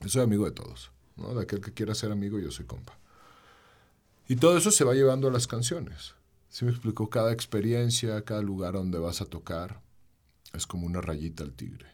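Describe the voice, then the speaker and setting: In a very clean recording with a silent background, a man with a central Mexican accent talks at a fairly quick pace, his fairly low voice showing lively intonation, big swings in loudness and long, frequent pauses. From Mexico, León (Bajío). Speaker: singer-songwriter. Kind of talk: casual interview chat.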